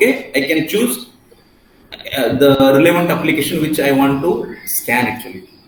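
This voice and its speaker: Audible room echo and noticeable background noise surround a man speaking at a moderate pace with a fairly high pitch. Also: lively intonation. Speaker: software testing trainer. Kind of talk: online class tutorial.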